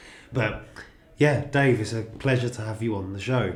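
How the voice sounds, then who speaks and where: A man's put-on character voice, croaky and hoarse, at medium pitch and moderate pace, with fairly even intonation and audible echo. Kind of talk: polite host greeting.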